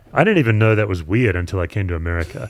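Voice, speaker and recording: With an Australian accent, the words come out very fast. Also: man. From Australia, Perth. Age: 50s. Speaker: pastor and author. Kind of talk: podcast interview.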